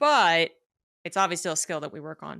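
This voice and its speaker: In a Mid-Atlantic accent, a woman speaks at a fairly low pitch with a bright, sharp tone. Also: very clean recording, silent background. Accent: American mid-Atlantic. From United States. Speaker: podcast host. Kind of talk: interview.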